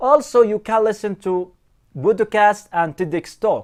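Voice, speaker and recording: Using lively intonation and a non-native accent, a man speaks fairly slowly at a high pitch. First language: not English. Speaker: English teacher. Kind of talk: tutorial.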